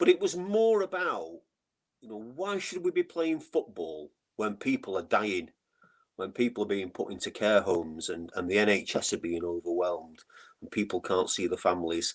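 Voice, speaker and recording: A man with a Mancunian accent speaks at a moderate pace, with big swings in loudness. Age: 60s. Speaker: football fan, memorial foundation chairman. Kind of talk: podcast interview. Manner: repetitive, halting starts.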